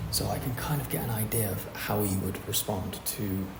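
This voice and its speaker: A soft-spoken man with a fairly low pitch comes through noticeable background noise. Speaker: DM setter for a fitness coaching offer. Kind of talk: tutorial talk to camera. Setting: co-working space. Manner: quiet, soft-spoken.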